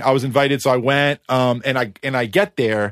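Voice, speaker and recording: An American accent comes through. The voice belongs to a man. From US East Coast. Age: 30s. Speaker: music producer. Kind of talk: casual chat. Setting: remote recording.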